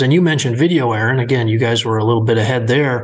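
This man has an ordinary speaking voice, medium in pitch with ordinary pitch variation. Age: 50s. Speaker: farm equipment podcast host. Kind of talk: casual interview chat.

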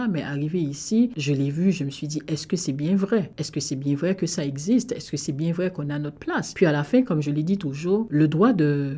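In a Haitian accent, a woman speaks at a moderate pace with a very deep, low pitch. Her tone is dark and mellow, with ordinary pitch variation. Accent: Haitian, noticeable. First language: Haitian Creole (speaking French). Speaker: immigrant sharing experience. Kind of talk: radio interview.

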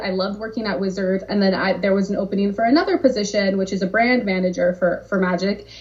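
A woman with a Californian accent at a very fast pace with hardly any pauses, medium pitch, ordinary pitch variation, and noticeable background noise. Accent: General American (Californian). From Southern California. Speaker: game brand marketer. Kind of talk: casual interview.

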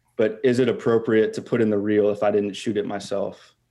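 In a very clean recording with a silent background, a man speaks in a dark, mellow tone with monotone, flat intonation. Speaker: caller, video content creator. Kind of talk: casual chat.

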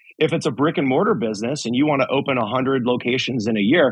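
A man in a normal speaking voice talks at a fairly quick pace, his medium pitch carrying lively intonation. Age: 40s. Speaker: franchise entrepreneur. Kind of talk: interview.

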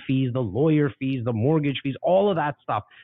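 With a Toronto accent, a man speaks at a medium pitch with lively intonation. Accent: Canadian English (Toronto). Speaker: real estate investor and agent. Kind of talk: casual interview. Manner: animated.

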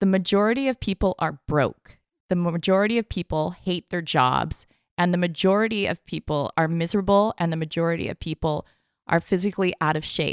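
Dry and close with no echo, a woman's ordinary speaking voice moves at a fairly quick pace, pitched fairly low with ordinary pitch variation. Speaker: podcast host. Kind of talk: interview questions.

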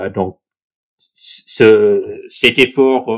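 The man's voice sounds dry and close, with no echo. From southern New York State, US. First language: English (speaking French). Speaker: baseball club president. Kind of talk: podcast interview. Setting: remote recording.

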